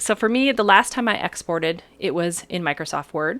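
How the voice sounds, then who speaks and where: A woman's voice swings very widely in pitch. The sound is dry and close with no echo, and the recording is very clean with a silent background. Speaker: writers group presenter. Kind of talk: software tutorial. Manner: fast; casual, chatty.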